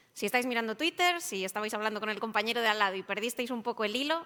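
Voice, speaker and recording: Talking at a very fast pace, a woman uses a fairly high pitch. Noticeable background noise is present. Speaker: IT service management consultant. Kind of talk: conference presentation.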